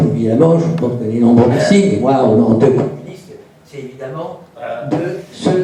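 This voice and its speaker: Over noticeable background noise and audible room echo, the speaker talks at a fairly slow pace with very wide pitch swings. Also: man. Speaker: audience member asking a question. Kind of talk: audience question. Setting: conference room with audience. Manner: halting, many fillers.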